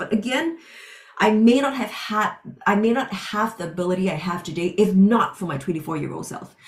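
A woman's pitch varies in an ordinary way while noticeable background noise runs underneath. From Singapore. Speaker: professor and author. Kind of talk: personal testimony.

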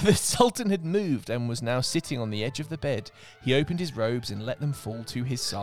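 The intonation is lively as this person reads aloud in a natural voice.

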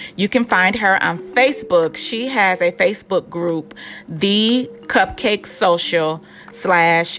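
A woman with an American accent talks at a fairly slow pace in a fairly low pitch, her tone animated and her pitch variation ordinary, with music in the background. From Illinois, Chicago suburbs. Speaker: podcast host. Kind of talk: casual interview chat.

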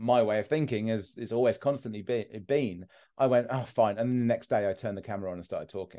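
This is a man's voice at medium pitch. His tone is dark and mellow. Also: quiet background. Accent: southern English. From southern England. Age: 30s. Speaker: mental health content creator. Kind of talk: casual interview. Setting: online call. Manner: blunt.

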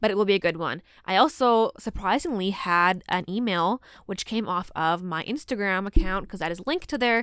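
A woman with a plain, everyday voice at medium pitch talks at a fairly quick pace with ordinary pitch variation, in a very clean recording with a silent background. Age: 20s. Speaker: podcast host. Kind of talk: casual monologue.

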